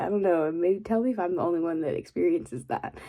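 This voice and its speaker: The voice is soft-spoken. Its pitch varies in an ordinary way. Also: woman. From Texas. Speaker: ASMR creator. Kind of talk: casual rambling talk to camera.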